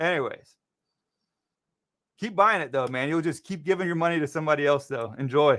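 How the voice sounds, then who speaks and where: A man's fairly high voice with a bright, sharp tone, a fairly quick pace, long and frequent pauses, ordinary pitch variation, and a very clean recording with a silent background. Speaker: stock market livestreamer. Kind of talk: livestream market commentary. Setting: livestream. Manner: fast; casual, conversational.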